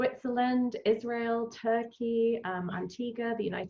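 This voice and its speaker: A woman talks with a British accent. Her intonation is fairly even. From England. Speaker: travel company founder. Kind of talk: interview. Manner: many filler ums.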